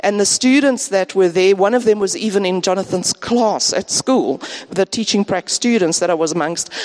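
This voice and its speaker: A woman with a medium pitch and ordinary pitch variation talks at a moderate pace, the sound dry and close with no echo despite noticeable background noise. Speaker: departing church member, teacher. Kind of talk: farewell talk in church. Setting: church service.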